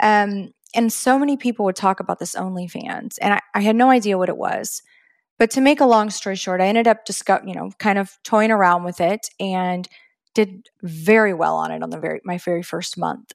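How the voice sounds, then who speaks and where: The recording is dry and close, with no echo. A woman speaks fairly quickly in a normal speaking voice with ordinary pitch variation. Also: medium pitch for a woman. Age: 30s. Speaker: entrepreneur, retired nurse and Navy veteran. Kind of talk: interview. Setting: video call.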